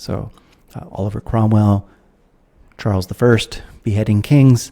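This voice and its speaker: A man with an American accent speaks at a fairly low pitch, his somewhat breathy voice carrying a dark, mellow tone and fairly even intonation. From United States. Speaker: philosopher, author. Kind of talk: podcast interview.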